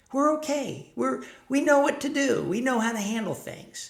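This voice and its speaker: At a moderate pace, a man speaks while noticeable background noise carries on. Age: 60s. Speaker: self-help vlogger for men over 50. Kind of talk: casual talking-head monologue. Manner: conversational, with fillers.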